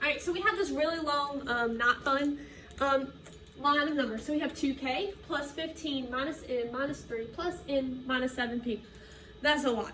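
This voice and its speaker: A woman's high-pitched, raised, projected voice, bright and sharp in tone, with lively intonation and audible room echo. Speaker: middle school math teacher. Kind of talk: recorded lesson for students.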